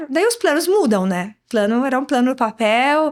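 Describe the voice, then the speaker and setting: The recording is very clean, with a silent background. A woman with a high pitch speaks at a moderate pace. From Morocco, Marrakesh. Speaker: export director. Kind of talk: interview.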